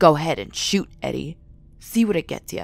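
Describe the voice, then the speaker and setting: At a moderate pace and middle pitch, a put-on character voice comes through with audible hissing. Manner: menacing, taunting.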